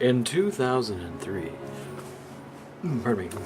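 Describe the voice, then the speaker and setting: A man mumbles at a moderate pace. Background noise is noticeable. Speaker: video blogger. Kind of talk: casual video blog monologue. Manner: mumbling.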